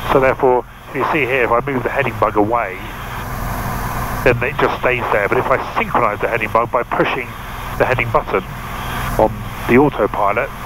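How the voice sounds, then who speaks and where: A man's voice at a fairly quick pace with fairly even intonation, a dry sound with no echo and noticeable background noise. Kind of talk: tutorial. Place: plane. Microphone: headset.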